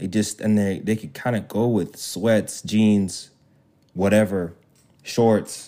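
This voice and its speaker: The voice has a dark, mellow tone and a monotone, flat intonation, moving at a very slow pace. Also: man, fairly low pitch for a man, very clean recording, silent background. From Zambia and London, raised in US from age eight. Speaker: youth pastor and track athlete. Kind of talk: casual chat.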